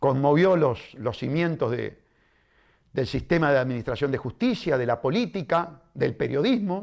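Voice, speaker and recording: Fairly high in pitch, a man speaks at a fairly slow pace with lively intonation. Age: 60s. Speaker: lawyer and politician. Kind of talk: interview. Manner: animated.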